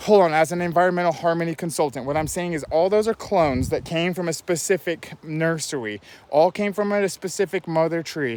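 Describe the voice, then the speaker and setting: A man with a high pitch talks fairly quickly with hardly any pauses and ordinary pitch variation. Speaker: environmental consultant. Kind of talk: walkthrough video monologue. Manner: fast; animated.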